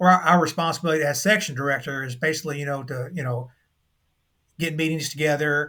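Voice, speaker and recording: A man speaking very fast in a fairly high pitch, with a bright, sharp tone and fairly even intonation, on a very clean recording with a silent background. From Kentucky. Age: 60s. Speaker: UFO investigator. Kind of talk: interview. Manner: halting.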